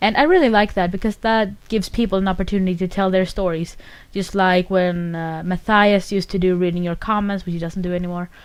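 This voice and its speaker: At a very fast pace, a woman with a slight Swedish accent speaks with fairly even intonation on a very clean recording with a silent background. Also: medium pitch for a woman. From northern Sweden. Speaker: podcaster. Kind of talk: casual monologue.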